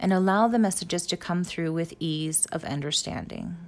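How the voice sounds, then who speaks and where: A woman with an unremarkable speaking voice talks at a fairly quick pace, fairly low in pitch with fairly even intonation, on a very clean recording with a silent background. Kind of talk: guided meditation. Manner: calm, hushed, coaxing.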